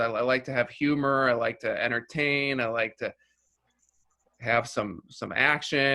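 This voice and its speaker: The voice has an American accent and a bright, sharp tone. Intonation stays fairly even at a fairly slow pace. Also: man. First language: Russian. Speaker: filmmaker. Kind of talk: interview. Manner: halting, many repeated words and fillers.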